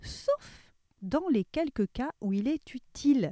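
In a dry, close recording with no echo, a woman's dark, mellow voice swings very widely in pitch. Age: 40s. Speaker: podcast columnist. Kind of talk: scripted humorous segment.

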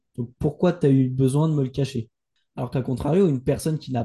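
At a moderate pace, a man talks in a somewhat breathy voice at a medium pitch with fairly even intonation. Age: 20s. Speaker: entrepreneur. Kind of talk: casual chat.

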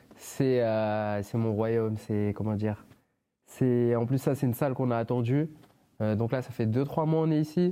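A man speaks at a medium pitch with a dark, mellow tone. His pace is fairly slow against a quiet background. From France. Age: 20s. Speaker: professional MMA fighter. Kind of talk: casual interview. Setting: father's workshop.

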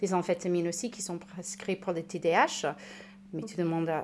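A woman with a fairly low-pitched voice. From United States. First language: English (speaking French). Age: 30s. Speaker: recovered alcoholic, patient expert. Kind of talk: testimony. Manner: halting, repeats words.

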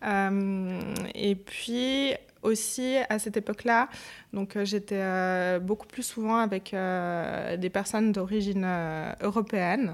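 Very slow delivery with fairly even intonation, on a very clean recording against a silent background. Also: woman, medium pitch for a woman. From Switzerland. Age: 30s. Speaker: human resources specialist. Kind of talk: casual chat.

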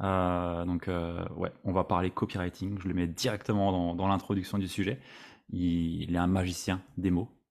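In a very clean recording with a silent background, a man with a very deep, low pitch speaks at a fairly slow pace, monotone and flat, his loudness very even. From Alsace, France. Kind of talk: interview podcast.

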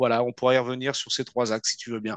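A man is recorded with a dry, close sound that has no echo. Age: 40s. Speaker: company CEO. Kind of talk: interview. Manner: halting.

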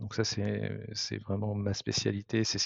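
This man's pitch is fairly low. He speaks at a fairly slow pace. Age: 50s. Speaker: tech startup co-founder. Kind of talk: interview. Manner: halting, many fillers.

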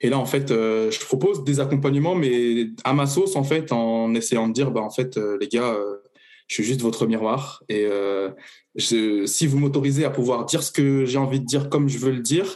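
A plain, everyday voice moves along at a fairly quick pace, its pitch varying in an ordinary way. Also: man. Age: 30s. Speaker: coach offering personal development sessions. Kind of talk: casual interview. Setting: podcast recording.

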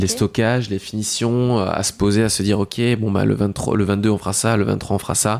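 Fairly low in pitch, a man speaks at a fairly slow pace with fairly even intonation. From France, Lorraine. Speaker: pastry chef, shop owner. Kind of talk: casual interview. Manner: halting, repeats words.

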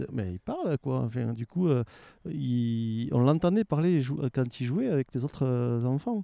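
A man at medium pitch with a dark, mellow tone, lively intonation and a very slow pace, in a dry, close sound with no echo and a quiet background. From France, Aveyron. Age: 40s. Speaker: waste prevention worker and traveller. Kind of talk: casual interview. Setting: outdoors in a garden.

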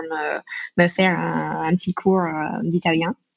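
A woman speaks with a fairly low pitch. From United States. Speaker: business owner, language training. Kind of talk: casual interview. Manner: hesitant, many fillers.

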